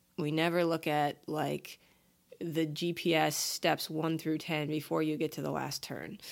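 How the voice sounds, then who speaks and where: A woman with an American accent speaks at a very deep, low pitch, with vocal fry and monotone, flat intonation. Her pace is fairly slow, and the recording is very clean with a silent background. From New York and Ohio, US. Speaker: podcast co-host. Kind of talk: casual chat.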